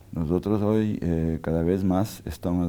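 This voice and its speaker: In a Portuguese accent, a man with a very deep, low voice and a dark, mellow tone speaks fairly slowly with fairly even intonation. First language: Portuguese (speaking Spanish). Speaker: architect and urbanism scholar. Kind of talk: interview. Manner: halting, many fillers.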